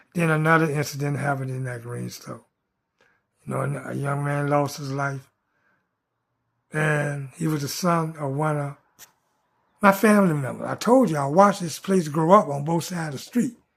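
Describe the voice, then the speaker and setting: A man with a fairly high, somewhat breathy voice talks at a moderate pace with ordinary pitch variation. His loudness swings widely, and he leaves long, frequent pauses. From US South (Richmond, Virginia and Atlanta, Georgia). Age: 70s. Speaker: vlogger. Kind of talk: casual monologue.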